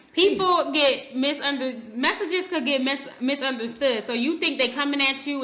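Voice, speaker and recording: A woman with an American accent uses a raised, projected voice at a high pitch with ordinary variation. She talks at a fairly quick pace over noticeable background noise. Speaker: podcast co-host. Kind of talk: casual chat. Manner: loud.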